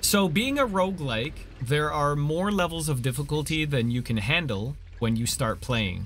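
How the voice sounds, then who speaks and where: Music plays in the background while a man with a Canadian accent speaks at a moderate pace. His pitch is fairly high, and his intonation is lively. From Canada. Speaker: gaming streamer. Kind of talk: casual co-op gameplay chat. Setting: live stream. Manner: animated.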